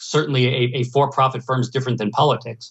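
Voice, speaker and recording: A man with an American accent talks at a fairly quick pace and medium pitch in a normal speaking voice. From New Jersey / New York area. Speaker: economics professor. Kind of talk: interview.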